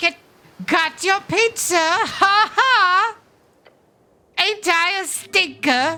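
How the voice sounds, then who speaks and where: Squeaky and at an extremely high pitch, the put-on character voice goes at a very slow pace with long, frequent pauses. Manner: annoying, cheeky.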